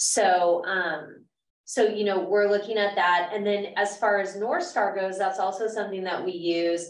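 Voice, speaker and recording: This woman has a normal speaking voice, medium in pitch. She goes at a fairly slow pace with fairly even intonation. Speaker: adult education program specialist. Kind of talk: conference presentation. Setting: room with live audience and Zoom viewers.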